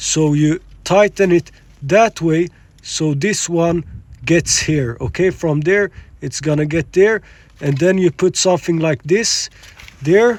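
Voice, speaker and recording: A man with a high voice and a non-native accent talks at a fairly slow pace with long, frequent pauses and ordinary pitch variation, in a dry, close sound with no echo. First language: not English. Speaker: car repair video maker, amateur. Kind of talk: tutorial. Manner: casual, with fillers and hesitations.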